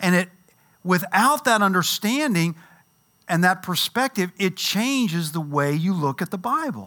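A man with a Kentucky accent speaks at a fairly slow pace in a raised, projected, high-pitched voice with a bright, sharp tone. His delivery is animated with lively intonation, and the recording is very clean with a silent background. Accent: US Southern (Kentucky). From Louisville, Kentucky. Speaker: Bible teacher. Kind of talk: Bible class lecture.

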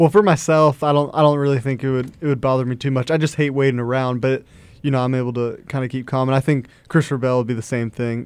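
Fairly even intonation runs through this very fast speech. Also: man, medium pitch for a man. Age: 20s. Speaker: race car driver. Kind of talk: casual chat. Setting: studio.

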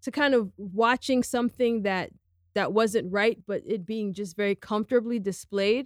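An unremarkable speaking voice in an American accent moves at a moderate pace with ordinary pitch variation, recorded dry and close with no echo against a very clean, silent background. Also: woman. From United States. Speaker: podcast host. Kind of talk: interview.

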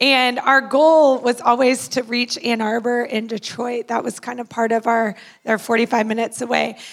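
A woman speaks in a high voice with flat, monotone intonation. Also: moderate pace. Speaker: church planter. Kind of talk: testimony.

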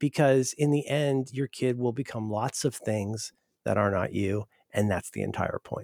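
A man speaks in a normal speaking voice at a medium pitch and a moderate pace, with ordinary pitch variation. The sound is dry and close, with no echo. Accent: American. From US Midwest, Cincinnati Ohio. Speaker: writer and podcaster. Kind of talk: interview conversation.

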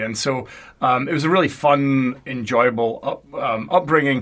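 A man with a Scottish accent and ordinary pitch variation. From Scotland, Paisley near Glasgow. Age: 40s. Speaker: university communications executive. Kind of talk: interview.

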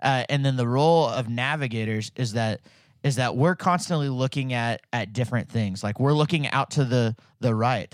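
A man with an American accent and a normal speaking voice, medium pitch, ordinary pitch variation and a moderate pace, in a dry, close sound with no echo on a very clean recording with a silent background. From Fayetteville, Arkansas, US South. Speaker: church staff leader (navigator). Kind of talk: casual interview chat.

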